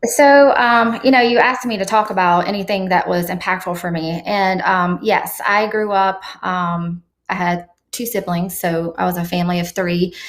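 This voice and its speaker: A woman with an American accent talks at a medium pitch. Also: ordinary pitch variation, moderate pace. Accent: slight Southern accent, once thicker. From eastern North Carolina, near Raleigh. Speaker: real estate executive. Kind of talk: interview. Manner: hesitant, many fillers.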